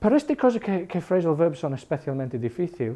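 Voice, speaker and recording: This man speaks at a high pitch. His tone is dark and mellow. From England, Irish family. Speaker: English teacher. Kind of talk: language class talk. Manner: halting, mixes Spanish and English.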